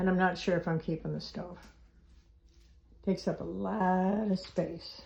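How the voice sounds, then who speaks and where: Vocal fry runs through a woman's monotone, flat intonation at a moderate pace. Her loudness swings widely, with long, frequent pauses. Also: medium pitch for a woman. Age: 70s. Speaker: DIY home renovator. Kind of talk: casual talk to camera. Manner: thinking aloud, hesitant.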